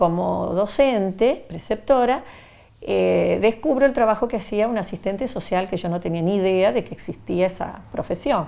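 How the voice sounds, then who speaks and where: This woman has a dark, mellow tone and a medium pitch. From Argentina, Rafaela, Santa Fe province. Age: 70s. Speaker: retired social worker, witness. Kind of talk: testimony. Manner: halting, with fillers.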